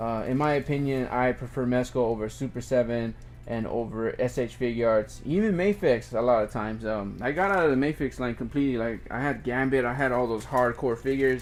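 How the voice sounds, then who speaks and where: This man talks at a fairly quick pace with hardly any pauses. His medium pitch shows ordinary pitch variation on a very clean recording with a silent background. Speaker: toy reviewer. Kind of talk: unboxing review, casual. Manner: halting, many fillers.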